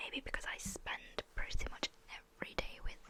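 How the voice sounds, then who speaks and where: Through noticeable background noise, a woman whispers at a fairly slow pace. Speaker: ASMR creator. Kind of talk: personal story about losing a pet. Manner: slow, emotional, halting.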